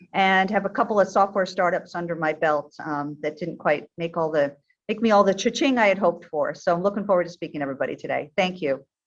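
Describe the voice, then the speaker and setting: Barely pausing, a woman with an American accent speaks very fast at a medium pitch. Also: ordinary pitch variation. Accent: American, noticeable in New Zealand. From New York, US. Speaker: tech executive. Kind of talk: webinar interview. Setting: recorded webinar.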